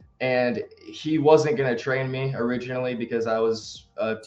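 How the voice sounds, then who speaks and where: A man's normal speaking voice in an American accent, medium-pitched, at a moderate pace with fairly even intonation. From North Carolina. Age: young. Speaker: pro wrestler. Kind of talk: casual chat.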